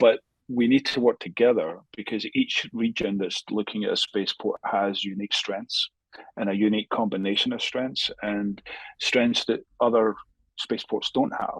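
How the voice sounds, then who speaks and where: A man with a Scottish accent at a moderate pace, the sound dry and close with no echo. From Scotland. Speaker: space industry academic. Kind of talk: podcast interview. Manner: halting with many fillers and repetitions.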